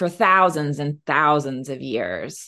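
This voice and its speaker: Against a quiet background, a woman with an American accent speaks at a fairly slow pace, her very deep, low pitch paired with a bright, sharp tone. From northeastern Oklahoma (Miami). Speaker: novelist. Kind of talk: interview. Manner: frequent fillers (um).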